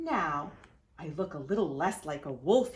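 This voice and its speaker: A put-on character voice, female-sounding, growling and gruff, is delivered at a fairly low pitch and a moderate pace. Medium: read story.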